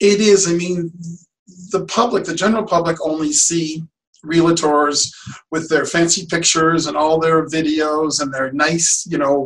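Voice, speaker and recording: This man has a plain, everyday voice, pitched fairly high. He talks at a fairly slow pace with fairly even intonation. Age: 60s. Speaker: real estate agent. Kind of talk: podcast interview.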